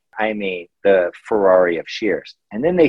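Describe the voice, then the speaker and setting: A man's normal speaking voice, fairly low in pitch, with an American accent, lively intonation and a moderate pace. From Missouri. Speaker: shear sharpening business owner. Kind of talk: casual interview.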